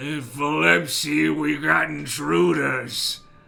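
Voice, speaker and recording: A man puts on a character voice that is rumbling and raspy at a medium pitch. He talks at a very slow pace. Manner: grumbling.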